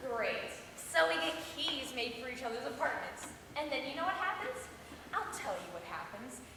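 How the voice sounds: With strong room echo, a woman does a put-on character voice at a high pitch and moderate pace, swinging her pitch widely and using vocal fry.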